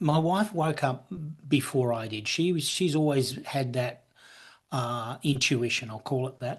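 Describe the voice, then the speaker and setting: A man with an Australian accent talks at a fairly slow pace in a somewhat breathy, medium-pitched voice with ordinary pitch variation. The background is quiet. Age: 60s. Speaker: businessman and author. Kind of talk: casual chat. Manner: halting, many repeated words.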